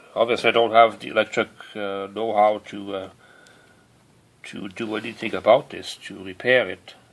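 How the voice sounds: At a moderate pace, a man speaks in a fairly low pitch with fairly even intonation.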